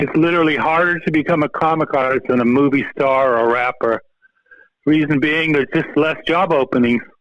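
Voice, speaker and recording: A man's plain, everyday voice at a fairly quick pace, fairly high in pitch, with fairly even intonation and very even loudness. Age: 60s. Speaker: comic book artist and biologist. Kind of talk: casual podcast interview. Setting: phone call.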